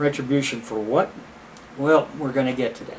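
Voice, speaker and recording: Speech moves at a fairly quick pace with noticeable background noise. Audible room echo hangs on the voice. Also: man. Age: 70s. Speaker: lecturer. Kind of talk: lecture. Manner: halting.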